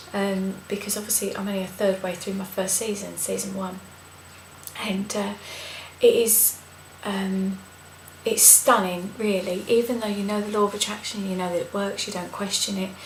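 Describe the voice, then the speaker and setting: A soft-spoken woman with a medium pitch talks in a flat monotone at a moderate pace, with long, frequent pauses. Noticeable background noise and audible room echo fill the recording. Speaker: vlogger. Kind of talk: video blog. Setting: at home, night.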